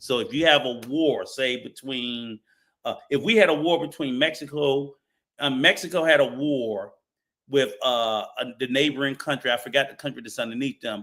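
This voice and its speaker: A man with an American accent speaks in a normal speaking voice at a fairly high pitch. His pace is moderate, with ordinary pitch variation. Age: 60s. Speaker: travel show panelist. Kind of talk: heated debate.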